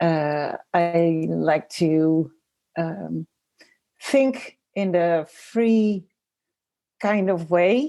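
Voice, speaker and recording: A woman with a Dutch accent speaks at a very slow pace in a fairly low, dark, mellow voice with ordinary pitch variation and long, frequent pauses. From Netherlands. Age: 40s. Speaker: designer and graphic facilitator. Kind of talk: interview, personal story. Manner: hesitant, many fillers.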